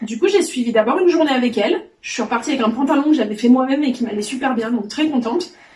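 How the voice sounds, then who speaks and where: The speech comes at a very fast pace with hardly any pauses and lively intonation. Noticeable background noise runs underneath. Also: woman, high pitch for a woman. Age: 40s. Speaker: sewing trainee. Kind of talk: testimony.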